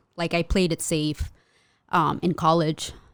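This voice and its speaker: A woman with a normal speaking voice talks at a moderate pace and a fairly low pitch, in a very clean recording with a silent background. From US, Mexican immigrant household. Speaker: custom merch artist and small business owner. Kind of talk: casual interview chat.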